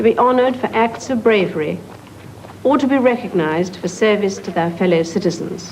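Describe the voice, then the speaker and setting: With music in the background, a woman with a British accent talks at a moderate pace in a medium-pitched voice with lively intonation. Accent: British received pronunciation. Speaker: monarch. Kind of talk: formal royal speech.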